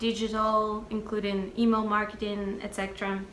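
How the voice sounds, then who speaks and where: At a moderate pace, a voice in monotone, flat intonation comes through audible room echo and noticeable background noise. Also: woman. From Russia. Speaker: music marketing professional and singer-songwriter. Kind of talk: interview.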